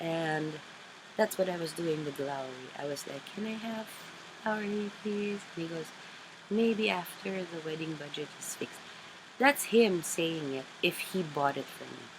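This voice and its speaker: A woman with a Filipino accent speaks with lively intonation. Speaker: craft vlogger. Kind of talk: casual chat. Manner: halting.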